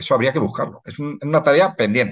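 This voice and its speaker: A man's medium-pitched voice at a fairly quick pace, against a quiet background. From Spain, La Mancha (Ciudad Real); La Mancha, Spain. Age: 60s. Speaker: historian and heritage researcher. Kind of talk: online lecture. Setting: video call. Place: home room. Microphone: webcam.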